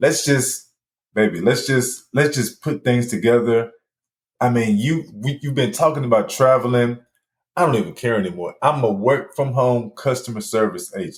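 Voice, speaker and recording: With a somewhat breathy sound, this man's voice sits at a medium pitch. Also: ordinary pitch variation, moderate pace. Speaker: podcast host with multiple sclerosis. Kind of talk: casual monologue. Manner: animated; halting, stuttering.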